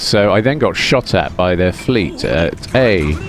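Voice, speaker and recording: A man speaks with a British accent in a very deep, low pitch. Music plays in the background. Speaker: gaming commentator. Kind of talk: gameplay commentary. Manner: soft, soothing.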